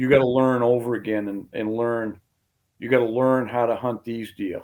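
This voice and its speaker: The speech has a moderate pace and an American accent. Its intonation is monotone and flat. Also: man, medium pitch for a man. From southern Maine, US. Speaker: hunting guide and big-woods tracker. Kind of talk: casual podcast interview.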